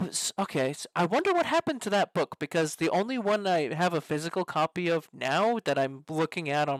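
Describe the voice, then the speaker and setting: A plain, everyday voice at a moderate pace, with ordinary pitch variation, a very clean recording with a silent background, and a dry, close sound with no echo. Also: man. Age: 20s. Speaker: podcast host. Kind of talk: casual chat.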